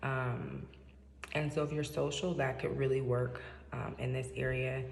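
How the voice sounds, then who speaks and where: A soft-spoken woman with an American accent talks at a fairly slow pace. There is noticeable background noise and audible room echo. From Seattle, US Pacific Northwest. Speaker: vlogger. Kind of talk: casual monologue. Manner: hesitant, many fillers. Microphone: echoey room.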